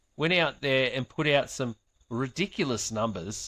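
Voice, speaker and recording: This man speaks with an Australian accent at a medium pitch, using ordinary pitch variation. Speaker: sports podcast host. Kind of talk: casual chat.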